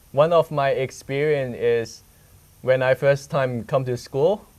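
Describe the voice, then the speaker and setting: A man speaks with a Hong Kong accent at a fairly slow pace. His pitch is fairly high, with ordinary variation. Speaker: student reporter. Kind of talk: casual conversation.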